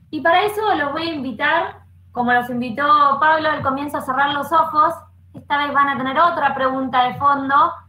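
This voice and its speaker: Projecting a raised voice, a woman speaks high and bright with a sharp tone at a moderate pace, and the room echo is audible. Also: fairly even intonation. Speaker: program coordinator and panel moderator. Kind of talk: live online panel discussion. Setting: video call with online audience. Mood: calm, reflective, warm. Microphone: headset.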